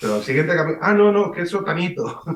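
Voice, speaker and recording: This is a man speaking. He has a Valencian accent. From Valencian-speaking eastern Spain. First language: Valencian (speaking Spanish). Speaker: writer. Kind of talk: radio interview.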